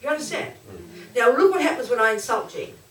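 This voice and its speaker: In a raised, projected voice, a woman speaks with audible room echo around her. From Australia. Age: 60s. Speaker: Buddhist nun and teacher. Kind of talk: dharma talk. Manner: animated.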